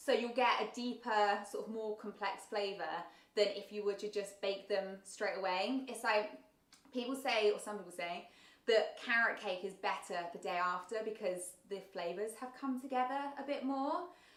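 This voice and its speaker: Fairly high-pitched woman at a moderate pace, with ordinary pitch variation and audible room echo. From southern England, south coast. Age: 30s. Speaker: baking content creator. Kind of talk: livestream chat reading viewer comments. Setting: livestream. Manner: casual, filler-heavy.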